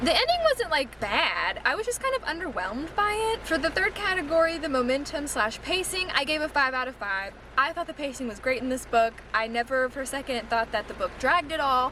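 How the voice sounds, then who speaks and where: A woman's raised, projected voice at high pitch, fairly quick, with very wide pitch swings and noticeable background noise. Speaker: booktuber. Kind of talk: casual vlog review. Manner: loud.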